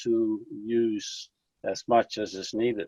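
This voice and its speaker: Monotone, flat intonation at a fairly slow pace, in a Dutch accent. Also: man. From Netherlands. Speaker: fraternal lodge official. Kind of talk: interview.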